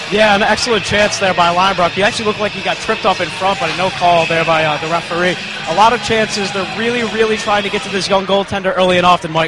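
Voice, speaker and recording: A man speaks in a raised, projected voice at a high pitch. He goes very fast with hardly any pauses over noticeable background noise. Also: fairly even intonation. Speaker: rinkside reporter. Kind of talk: sports analysis report. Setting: ice level behind the glass. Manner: halting, filler-heavy.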